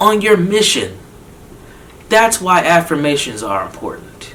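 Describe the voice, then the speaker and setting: Heard over noticeable background noise, a man with an American accent speaks with ordinary pitch variation. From Minnesota, Saint Paul. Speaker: psychotherapist. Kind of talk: motivational talk. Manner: animated.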